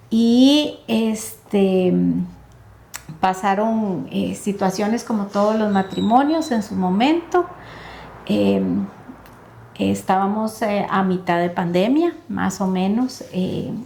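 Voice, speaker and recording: Noticeable background noise runs under the clip. A woman speaks at a very slow pace with long, frequent pauses. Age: 60s. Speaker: lawyer and life coach. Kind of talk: testimony. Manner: hesitant, many fillers.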